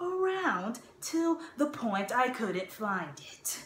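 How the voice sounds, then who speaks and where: A woman's voice carries audible room echo along with light background noise. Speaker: actor doing an audition monologue. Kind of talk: acted comedic monologue. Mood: exasperated, dramatic. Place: home room. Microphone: phone near.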